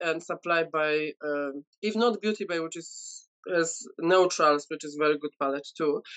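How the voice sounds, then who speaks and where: Against a quiet background, a woman with a Polish accent speaks with ordinary pitch variation. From Poland. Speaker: beauty content creator. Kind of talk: casual chat. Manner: halting. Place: home room. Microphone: video call.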